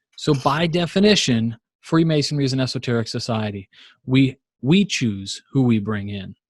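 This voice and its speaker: A somewhat breathy voice with an American accent and lively intonation, recorded very cleanly against a silent background with a dry, close sound and no echo. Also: man, medium pitch for a man. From Virginia, US. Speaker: Masonic lecturer and podcaster. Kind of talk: lecture. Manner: fast.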